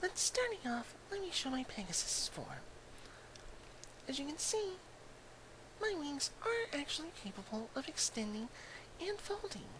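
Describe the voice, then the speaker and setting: A man puts on a character voice at an extremely high pitch, moving at a moderate pace with long, frequent pauses. Loud background noise fills the recording. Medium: virtual streamer. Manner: pleased with her looks, presenting herself.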